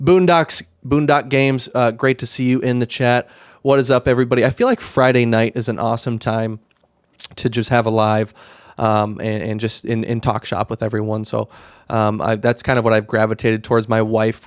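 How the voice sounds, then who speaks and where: The voice moves at a fairly quick pace with fairly even intonation, in a dry, close sound with no echo. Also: man, medium pitch for a man. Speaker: card seller and streamer. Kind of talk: casual live stream chat. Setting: live stream at home. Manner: monotone; halting, many fillers and restarts.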